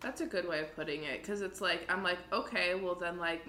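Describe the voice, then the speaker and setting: Noticeable background noise runs through the clip. A woman speaks at a fairly low pitch. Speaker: podcast co-host. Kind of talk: casual chat. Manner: profane, animated.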